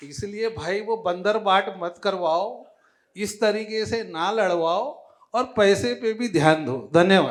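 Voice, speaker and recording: Here a man talks in a high pitch with ordinary pitch variation. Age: 60s. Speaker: businessman, award recipient. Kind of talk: award acceptance speech. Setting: stage at awards event.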